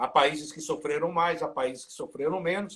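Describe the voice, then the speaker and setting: A man speaking at a fairly quick pace. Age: 60s. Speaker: sports reporter. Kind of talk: casual interview chat. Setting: live video stream.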